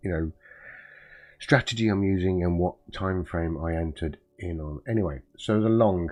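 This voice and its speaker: Moderate pace and ordinary pitch variation, in a British accent. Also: man. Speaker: trading streamer. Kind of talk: live trading stream commentary. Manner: halting, many fillers.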